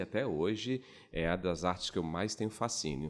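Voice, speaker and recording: A man with a northeastern Brazilian accent at a moderate pace, in a very clean recording with a silent background. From Brazil, Pernambuco countryside (Gravatá). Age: 40s. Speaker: actor. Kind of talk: interview.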